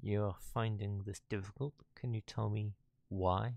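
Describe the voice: Plain reading aloud. The intonation stays fairly even.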